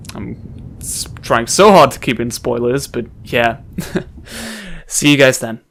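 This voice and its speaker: Very slow and broken by long, frequent pauses, a man's voice shows vocal fry and big swings in loudness, sitting at a medium pitch with ordinary pitch variation. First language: not English. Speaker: let's play gamer. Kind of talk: gameplay commentary. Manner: halting.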